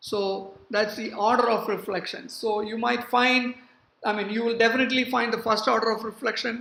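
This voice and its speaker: A woman speaks at a fairly high pitch. Her moderate pace carries audible room echo. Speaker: university professor. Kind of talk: lecture. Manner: hesitant, many fillers.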